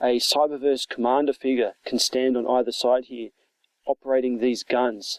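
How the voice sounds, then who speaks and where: In a dry, close sound with no echo, a man with an Australian accent talks at a moderate pace, his medium pitch following fairly even intonation. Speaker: toy reviewer. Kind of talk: product review. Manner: casual, hesitant with fillers.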